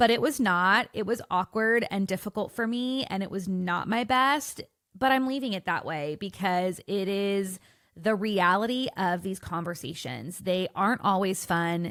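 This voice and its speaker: Over a very clean recording with a silent background, a woman uses an ordinary speaking voice at a medium pitch and moderate pace, with ordinary pitch variation. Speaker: podcast host. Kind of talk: podcast intro monologue.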